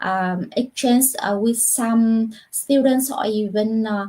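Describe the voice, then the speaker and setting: A woman's fairly high, fairly even voice with a Vietnamese accent, at a very slow pace. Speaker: university lecturer. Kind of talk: panel discussion answer. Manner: halting, many fillers.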